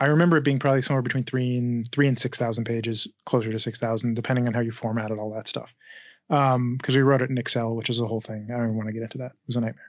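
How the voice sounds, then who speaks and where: Over a quiet background, a man talks at a very fast pace in a monotone, flat intonation, his loudness swinging widely in a dry sound with no echo. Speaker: game writer and filmmaker. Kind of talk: interview. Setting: video call. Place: home room. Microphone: studio mic.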